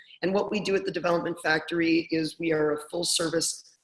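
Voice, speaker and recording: This woman has a very deep, low pitch and talks at a fairly quick pace. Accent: Canadian. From Canada, Toronto. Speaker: product coach. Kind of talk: webinar presentation. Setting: online webinar call.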